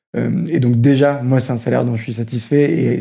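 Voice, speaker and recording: This man has a dark, mellow tone at a medium pitch. His intonation stays fairly even. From northern France, Roubaix. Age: 20s. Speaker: social enterprise program manager. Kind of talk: interview.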